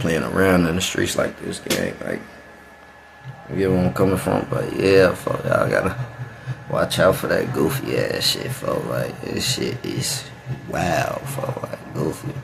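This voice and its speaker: The man here talks at a fairly slow pace. Noticeable background noise is present. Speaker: reaction youtuber. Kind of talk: casual reaction commentary. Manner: casual street slang.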